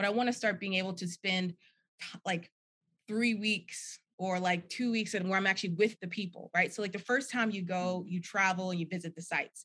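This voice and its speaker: The speaker talks at a fairly quick pace with an American accent, a bright, sharp tone and fairly even intonation. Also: woman, medium pitch for a woman. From New Jersey. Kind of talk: casual chat.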